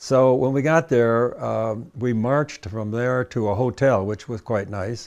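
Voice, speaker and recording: In a Midwestern accent, a man talks at a fairly slow pace and medium pitch. His intonation is fairly even, and the background is quiet. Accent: American Midwestern. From US Midwest, Michigan (Cleveland, Grosse Pointe). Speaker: war veteran. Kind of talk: oral history interview. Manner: halting, frequent fillers.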